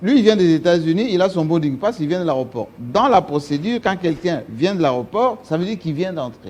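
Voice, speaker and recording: A man talks fairly quickly in a high pitch, with hardly any pauses. His pitch swings very widely. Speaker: TV talk show host. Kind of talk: talk show interview. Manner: animated.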